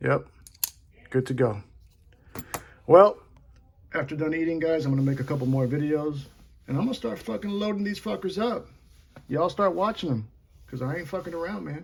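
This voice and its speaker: Speaking at a fairly quick pace, a man with a fairly high, somewhat breathy voice makes very wide pitch swings and takes long, frequent pauses. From Puerto Rico. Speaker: knife reviewer. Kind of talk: casual tutorial. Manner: animated, profane.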